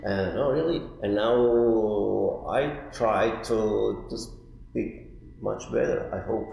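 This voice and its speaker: A man speaks very slowly, with audible room echo and noticeable background noise. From Italy, Turin. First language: Italian. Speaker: artist in residence. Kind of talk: interview. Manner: halting.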